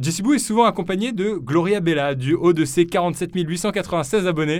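A man talks with a slight southern French accent. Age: young. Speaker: podcast host and youtuber. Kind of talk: casual chat. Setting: studio.

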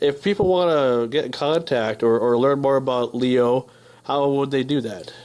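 A man with an American accent speaks in a normal speaking voice at a moderate pace, his pitch fairly high and its variation ordinary. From northern Minnesota. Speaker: radio host. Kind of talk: casual interview. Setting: radio studio.

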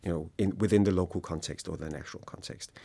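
A man with a Danish accent and ordinary pitch variation, on a very clean recording with a silent background. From Denmark. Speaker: happiness researcher. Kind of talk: interview.

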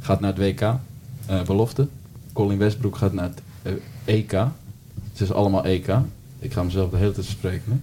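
Despite a fairly quick pace, a man with a fairly low pitch and fairly even intonation leaves long, frequent pauses, with noticeable background noise behind him. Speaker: podcast host. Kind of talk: casual chat.

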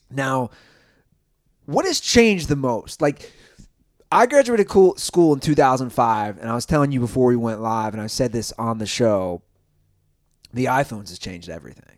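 A man's medium-pitched voice at a moderate pace, with lively intonation, big swings in loudness and long, frequent pauses. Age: 30s. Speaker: podcast host. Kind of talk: casual chat. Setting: Airbnb rental.

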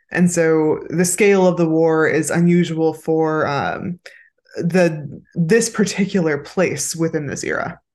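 Speaking in a Californian accent, a woman keeps a fairly low pitch and fairly even intonation. Her pace is fairly slow, and the background is quiet. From Los Angeles, California. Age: 30s. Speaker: podcast co-host and writer. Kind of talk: casual chat.

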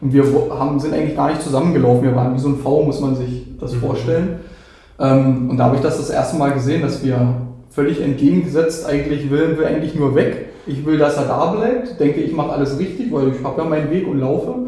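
A man talks at a very fast pace in a fairly high pitch with ordinary pitch variation. Audible room echo and noticeable background noise fill the recording. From Brandenburg, Germany. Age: 30s. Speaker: dog owner. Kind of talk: casual interview.

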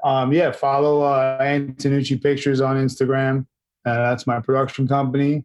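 At a moderate pace, a man speaks at a medium pitch in a monotone, flat intonation with very even loudness. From New York City (Brooklyn-born, raised in Queens). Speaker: actor, producer and former rock guitarist. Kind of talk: casual interview chat. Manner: halting, repeats words.

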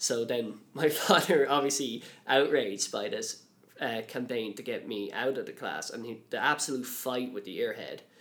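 In a Dublin accent, a man talks at a moderate pace. His pitch is medium. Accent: Dublin Irish. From Ireland, Dublin. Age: 20s. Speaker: college worker, podcast guest with dyslexia. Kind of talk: interview. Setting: studio.

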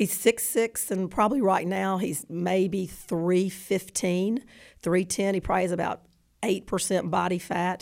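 A woman's medium-pitched voice with a Southern US accent, fairly slow pace and fairly even intonation, on a very clean recording with a silent background. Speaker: adoptive mother of a football player. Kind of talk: interview.

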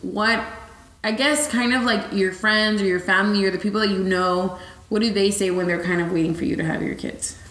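Against noticeable background noise, a woman talks fairly quickly at a medium pitch with ordinary pitch variation. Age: 20s. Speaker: podcast host. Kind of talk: casual chat.

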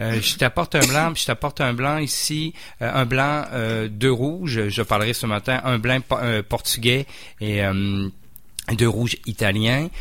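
The speech comes very slowly with ordinary pitch variation, on a very clean recording with a silent background. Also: man, medium pitch for a man. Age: 40s. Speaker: wine expert. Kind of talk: casual chat.

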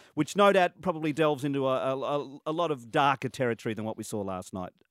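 In a very clean, dry and close recording with no echo and a silent background, a man with an Australian accent speaks very fast at a fairly high pitch with ordinary pitch variation. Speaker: radio host. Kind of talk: radio interview. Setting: studio. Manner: animated.

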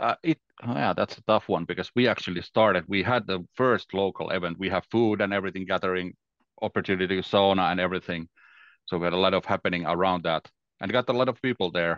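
Someone with a Finnish accent talks at a very fast pace with ordinary pitch variation over a quiet background. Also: man, very deep, low pitch for a man. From Finland. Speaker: Microsoft 365 consultant. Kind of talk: casual interview chat.

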